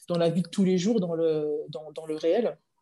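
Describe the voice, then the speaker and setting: The background stays quiet. A woman's voice has a dark, mellow tone. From France, Dijon. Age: 30s. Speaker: former professional handball player. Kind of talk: interview. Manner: hesitant, many fillers.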